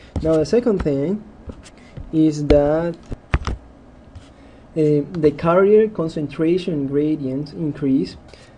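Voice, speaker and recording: A man's fairly high-pitched voice at a very slow pace, with long, frequent pauses, ordinary pitch variation and noticeable background noise. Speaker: engineering lecturer. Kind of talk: lecture.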